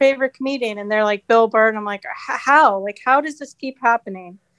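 A woman with an American accent keeps her intonation fairly even, recorded with a dry, close sound and no echo. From New Jersey, near New York City. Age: 30s. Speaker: comedian. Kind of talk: casual chat.

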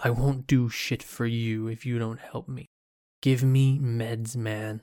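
Growling in a put-on character voice, a man speaks at a medium pitch and a fairly slow pace with fairly even intonation. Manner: snarling, angry.

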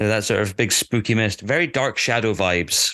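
Dry and close, with no echo, the sound sits over a quiet background. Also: man. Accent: Scottish. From Scotland. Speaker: podcast co-host. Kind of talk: casual chat.

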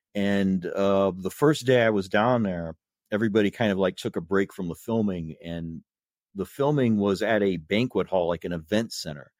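This man has an American accent and a fairly low pitch with ordinary variation. The recording is very clean with a silent background, its sound dry and close with no echo. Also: moderate pace. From US Midwest, Indiana (South Bend). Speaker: blogger and horror film fan. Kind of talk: casual interview chat. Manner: halting, frequent repetitions.

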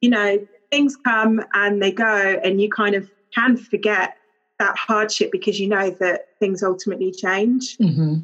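This is a woman speaking at a medium pitch. Her pitch varies in an ordinary way. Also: very even loudness. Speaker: children's stylist. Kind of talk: casual chat.

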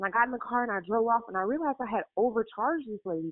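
A woman talks at a very fast rate with a fairly high pitch and ordinary pitch variation, against noticeable background noise. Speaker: caller. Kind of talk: testimony. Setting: phone call.

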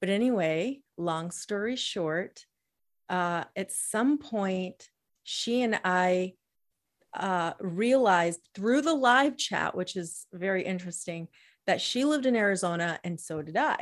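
At a very slow pace, a woman with a medium pitch speaks with lively intonation in a very clean recording with a silent background. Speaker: podcast co-host. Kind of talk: casual chat.

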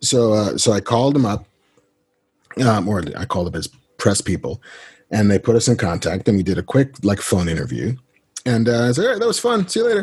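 A man with an American accent talks at a fairly quick pace in a medium pitch. His voice is somewhat breathy, with lively intonation. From New York City (the Bronx). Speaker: screenwriter and comic book writer. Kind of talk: interview.

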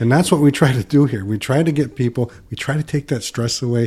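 In an American accent, a man speaks with a dark, mellow tone at medium pitch and with ordinary pitch variation. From Michigan, US Midwest. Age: 60s. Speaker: financial advisor. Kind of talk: casual chat.

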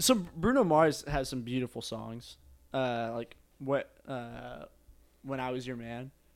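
This is a man with an ordinary speaking voice, medium in pitch with ordinary pitch variation, at a fairly slow pace. His loudness swings a lot, and the recording is very clean with a silent background. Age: young. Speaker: podcast co-host. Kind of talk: casual chat.

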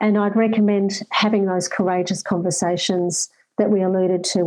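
Speaking in an Australian accent, a woman has a dark, mellow tone and monotone, flat intonation. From far north Queensland, Australia. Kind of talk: interview.

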